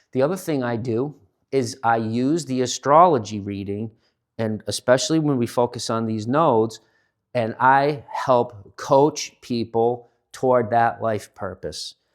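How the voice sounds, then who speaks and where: Here a man speaks at a fairly slow pace with a medium pitch and ordinary pitch variation. The recording is very clean, with a silent background. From central Massachusetts. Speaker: astrology reader and life coach. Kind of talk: casual monologue to camera. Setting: home studio with sound bath equipment. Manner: hesitant, many fillers.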